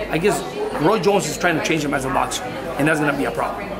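Crowd noise fills the background as a man talks. He speaks at a fairly quick pace with ordinary pitch variation. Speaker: boxing trainer. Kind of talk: interview answer.

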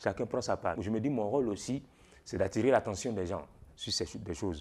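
Pitched fairly low, a man talks at a moderate pace. His pitch variation is ordinary. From Ivory Coast. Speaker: storyteller. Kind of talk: interview answer. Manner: hesitant. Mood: warm, smiling, animated.

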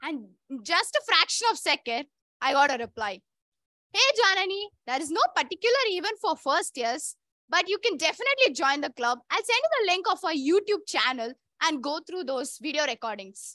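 A woman's raised, projected voice with an Indian accent, extremely high in pitch, with very wide pitch swings and a bright, sharp tone, against a quiet background in a dry room with no echo. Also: moderate pace. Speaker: club president. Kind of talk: personal speech. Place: hall.

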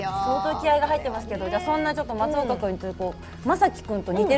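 Over clear music in the background, a woman talks at a very fast pace in a fairly high pitch with very wide pitch swings. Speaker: voice actor. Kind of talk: web radio show hosting. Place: studio. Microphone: lapel.

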